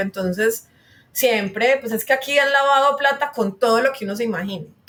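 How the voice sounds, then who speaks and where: Her speaking pace is fairly quick and her pitch variation ordinary. The woman has an ordinary speaking voice. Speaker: guest on a podcast about urban issues. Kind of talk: interview conversation.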